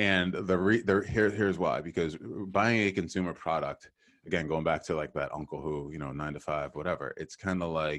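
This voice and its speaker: With a very deep, low voice, a man talks at a fairly quick pace against a quiet background, his pitch varying in an ordinary way. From Boston. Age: 40s. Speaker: sales recruiting firm founder and podcast host. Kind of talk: casual interview conversation.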